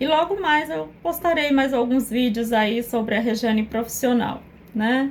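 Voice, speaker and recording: At a moderate pace, a woman talks in a strong northeastern Brazilian accent. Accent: Northeastern Brazilian accent, kept strong. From Northeast Brazil. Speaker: psychoanalyst. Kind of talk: personal testimony to camera.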